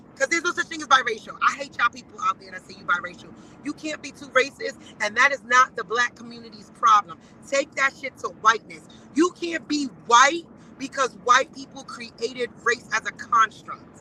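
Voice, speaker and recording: Raised and projected, a woman's animated voice at a high pitch moves at a fairly quick pace with lively intonation and big swings in loudness, recorded dry and close with no echo. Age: 40s. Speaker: guest commentator. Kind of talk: casual chat.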